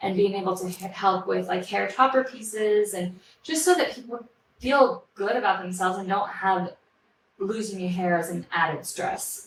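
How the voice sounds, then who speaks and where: A woman with an American accent speaks at a moderate pace and medium pitch in an ordinary speaking voice. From Switzerland, French-speaking Neuchâtel area, then Colorado from age 14. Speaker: hairdresser and salon owner. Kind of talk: interview.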